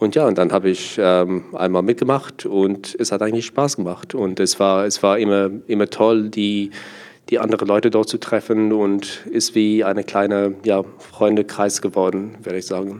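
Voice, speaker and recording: Monotone, flat speech from a man, fairly low in pitch, at a moderate pace. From South Africa. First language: Afrikaans (speaking German). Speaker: sommelier and student. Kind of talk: interview. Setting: association annual meeting venue. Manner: halting.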